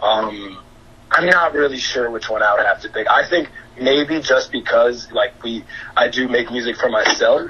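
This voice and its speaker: With a New York accent, a man talks at a moderate pace over noticeable background noise. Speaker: DJ and music producer. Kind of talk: casual interview chat.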